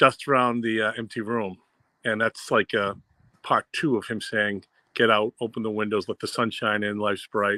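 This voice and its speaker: A man's fairly low voice with a Boston accent, bright and sharp in tone, flat and monotone in intonation, at a moderate pace, with a dry, close sound with no echo. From Boston area, US. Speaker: music fan panelist. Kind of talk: casual chat.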